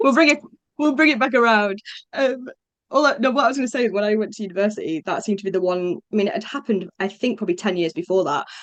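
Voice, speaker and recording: With a northern English accent, a woman of medium pitch speaks at a very fast pace with lively intonation, in a dry, close sound with no echo. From northern England, Morecambe, Lancashire. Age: 30s. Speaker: play consultant, former teacher. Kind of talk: podcast interview. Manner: chatty, hesitant fillers.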